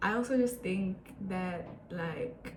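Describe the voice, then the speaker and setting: A woman's very slow speech comes through noticeable background noise. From Botswana. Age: 20s. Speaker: international student. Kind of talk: casual talk to camera.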